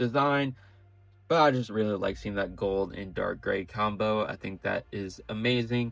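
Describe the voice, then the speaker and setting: Fairly low in pitch, a man talks at a fairly slow pace in an unremarkable speaking voice. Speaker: toy reviewer. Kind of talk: product review. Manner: casual, with fillers.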